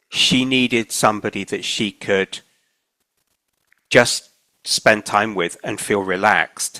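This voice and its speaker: Here a man with a southern English accent speaks very slowly at a medium pitch, with ordinary pitch variation. His tone is bright and sharp, and the sound is dry and close with no echo. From Isle of Wight, southern England. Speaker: oral history interviewee. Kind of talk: oral history interview. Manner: conversational.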